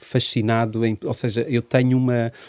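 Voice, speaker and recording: With a quiet background and a dry, close sound with no echo, a man speaks at medium pitch in a dark, mellow tone. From Portugal. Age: 40s. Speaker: social worker and former teacher. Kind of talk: interview. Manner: halting.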